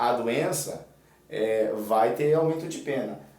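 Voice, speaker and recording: Very slow speech with lively intonation and audible room echo. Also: man. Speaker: exam prep teacher. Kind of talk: tutorial.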